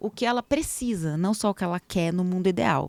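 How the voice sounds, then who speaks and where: Heard on a very clean recording with a silent background and a dry, close sound with no echo, a woman speaks at a medium pitch in an animated tone. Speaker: entertainment lawyer. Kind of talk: casual interview chat. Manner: fast.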